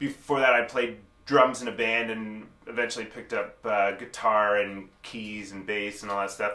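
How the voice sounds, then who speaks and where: A man with a Canadian accent talks at a moderate pace in a fairly low, monotone voice. His tone is bright and sharp, and the room echo is audible. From Ottawa, Canada. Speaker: rapper and music producer. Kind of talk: interview talk. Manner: halting with repeated syllables.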